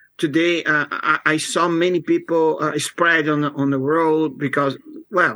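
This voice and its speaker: Someone speaks with a Portuguese accent at a fairly slow pace. The intonation is monotone and flat. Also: man. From Brazil, São Paulo. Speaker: software developer. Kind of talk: interview. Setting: video call. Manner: halting.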